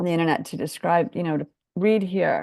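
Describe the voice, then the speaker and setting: Against a quiet background, a woman talks in a normal speaking voice, fairly low in pitch, with ordinary pitch variation. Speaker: webinar host, interviewer. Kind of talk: casual webinar hosting.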